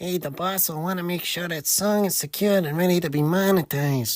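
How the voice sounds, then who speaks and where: Putting on a character voice, a man speaks at a high pitch and a fairly quick pace. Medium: audio drama. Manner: gruff, tough-guy.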